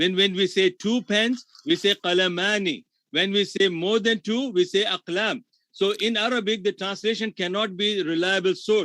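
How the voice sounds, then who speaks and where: A voice with fairly even intonation, a moderate pace and very even loudness. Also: man, high pitch for a man. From India. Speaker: Islamic scholar and debater. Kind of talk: heated debate.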